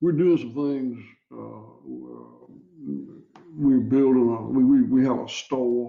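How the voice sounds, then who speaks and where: Spoken at a very slow pace with a Southern US accent. The loudness swings widely, and room echo is audible. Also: man. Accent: Southern US (Georgia). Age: 60s. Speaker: cattle farmer. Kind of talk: interview. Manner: halting, many repeated words.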